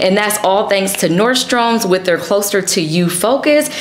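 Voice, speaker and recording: At a moderate pace, a woman talks in a room with noticeable echo. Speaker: fashion content creator. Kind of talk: sponsored fashion vlog talk. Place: home room.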